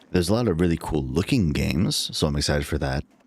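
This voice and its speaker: A man's lively intonation and vocal fry at a moderate pace. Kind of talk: live stream chat. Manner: casual, halting.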